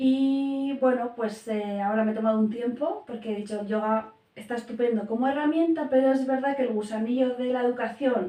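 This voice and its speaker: Her pitch high and varying in an ordinary way, a woman talks at a fairly quick pace. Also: hardly any pauses. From Spain, Basque Country (San Sebastián). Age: 40s. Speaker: family and educational coach, primary teacher. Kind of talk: interview. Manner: hesitant, many fillers.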